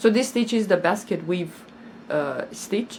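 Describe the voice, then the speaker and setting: At a moderate pace, the speaker uses lively intonation and sounds somewhat breathy. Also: woman. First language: not English. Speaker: crochet YouTuber. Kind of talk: casual vlog chat. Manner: halting, repeats words.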